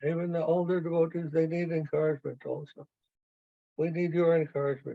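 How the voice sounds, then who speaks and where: Speaking at a fairly quick pace, a man delivers his lines in a fairly high pitch with monotone, flat intonation. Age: 80s+. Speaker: spiritual teacher. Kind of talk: casual chat.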